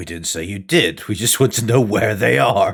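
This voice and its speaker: Putting on a character voice, a man speaks at a moderate pace with a fairly low pitch. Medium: actual play. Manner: gruff, threatening.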